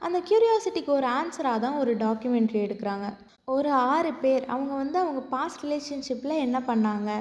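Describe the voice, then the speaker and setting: A woman with a high pitch and a dark, mellow tone speaks with very wide pitch swings. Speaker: voice-over narrator. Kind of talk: drama recap narration. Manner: clear, expressive.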